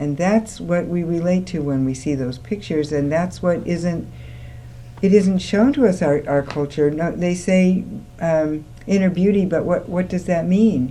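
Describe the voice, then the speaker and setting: At a moderate pace, a woman with a fairly low pitch and a dark, mellow tone speaks with lively intonation. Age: 60s. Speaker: women's school co-founder. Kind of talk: studio talk show discussion. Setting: TV studio, live. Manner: animated.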